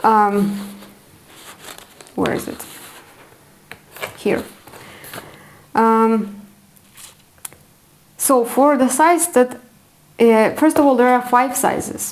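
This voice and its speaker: Very slow pace in a non-native accent, with long, frequent pauses. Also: woman, high pitch for a woman, ordinary pitch variation. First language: not English. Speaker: knitting podcaster. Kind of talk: casual chat. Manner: hesitant, many fillers.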